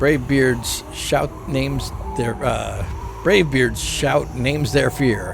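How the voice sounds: Simply a natural reading voice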